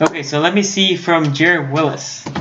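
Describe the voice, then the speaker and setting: With audible room echo, a man speaks in a Puerto Rican accent. His pace is moderate and his pitch varies in an ordinary way. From Puerto Rico. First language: Spanish. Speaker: sports YouTuber. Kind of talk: live stream commentary. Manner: halting at times, gets stuck; casual, conversational.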